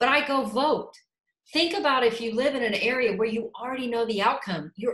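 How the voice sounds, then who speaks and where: Passionate in tone, a woman with a Texan accent talks at a moderate pace with a fairly high pitch and ordinary pitch variation. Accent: Texan American English. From Houston, Texas. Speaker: political candidate, lawyer. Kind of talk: campaign talk, interview answer.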